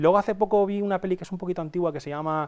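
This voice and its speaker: A man speaks against a quiet background. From Spain, Alicante interior (Castalla). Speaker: entrepreneur and usability expert. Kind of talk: interview. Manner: halting, many repetitions.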